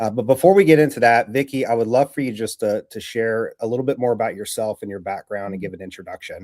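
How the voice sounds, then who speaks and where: In an American accent, a man with a medium pitch talks at a very fast pace with hardly any pauses and big swings in loudness, recorded very cleanly against a silent background with a dry, close sound and no echo. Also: ordinary pitch variation. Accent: slight mountain twang. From Southwest Virginia. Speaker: real estate podcast host. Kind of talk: livestream interview.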